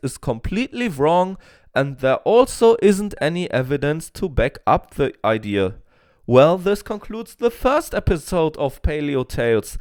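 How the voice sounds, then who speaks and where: Spoken at a fairly slow pace with a non-native accent, the voice swings very widely in pitch over a very clean recording with a silent background. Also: man. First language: not English. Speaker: paleontology YouTuber. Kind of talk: scripted educational narration.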